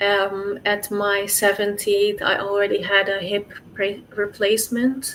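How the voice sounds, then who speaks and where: Her voice is fairly high-pitched for a woman. She speaks in a monotone, with flat intonation. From Netherlands. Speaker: sickle cell patient. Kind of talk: interview. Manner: halting.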